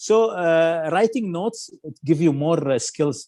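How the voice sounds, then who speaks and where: In an Arabic accent, the voice has a dark, mellow tone and keeps a moderate pace. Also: man. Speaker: film critic. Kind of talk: radio interview. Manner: halting, many fillers.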